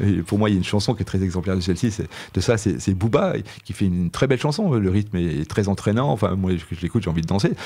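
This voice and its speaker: A man talks at a very fast pace with a fairly low pitch. His tone is dark and mellow, with ordinary pitch variation. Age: 60s. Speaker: philosophy teacher, author. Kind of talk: radio interview. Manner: halting, many hesitations.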